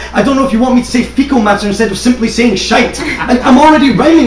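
A man talks very fast at an extremely high pitch. Audible room echo and light background noise surround his voice. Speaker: spoken word poet. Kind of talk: slam poetry performance. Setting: live stage. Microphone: camera far.

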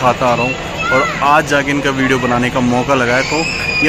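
Against crowd noise in the background, a man speaks at a fairly slow pace in a dry sound with no echo. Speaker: food vlogger. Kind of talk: casual vlog chat. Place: street. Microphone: phone near.

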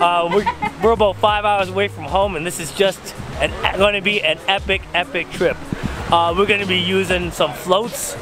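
A man at a high pitch and moderate pace with fairly even intonation, dry and echo-free, with clear music in the background. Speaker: fishing vlogger. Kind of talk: casual vlog chat. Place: waterside. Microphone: phone near.

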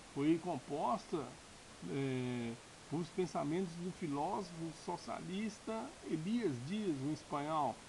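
Against noticeable background noise, a man with a fairly high pitch speaks very slowly, his intonation lively. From Brazil, Minas Gerais. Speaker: political YouTuber. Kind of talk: political commentary monologue. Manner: halting, many fillers. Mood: indignant, critical. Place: home room. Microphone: webcam.

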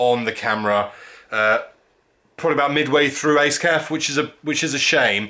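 A man talks at a moderate pace with lively intonation and a bright, sharp tone. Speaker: car vlogger. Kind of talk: casual vlog chat. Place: home room. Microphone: phone near.

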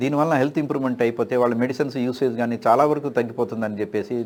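On a very clean recording with a silent background, a man with an unremarkable speaking voice talks with fairly even intonation. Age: 60s. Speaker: retired professor. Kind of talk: health advice talk.

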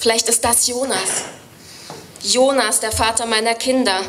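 A woman's flat, monotone delivery at a moderate pace, with music in the background. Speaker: poetry slammer. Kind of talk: poetry slam performance. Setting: live stage. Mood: wry, storytelling. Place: stage. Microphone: studio mic.

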